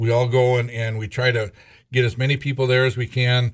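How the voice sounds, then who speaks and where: A somewhat breathy male voice at medium pitch with fairly even intonation, on a very clean recording with a silent background. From North Dakota (Scranton, southwest). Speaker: auctioneer and radio show co-host. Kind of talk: casual radio chat.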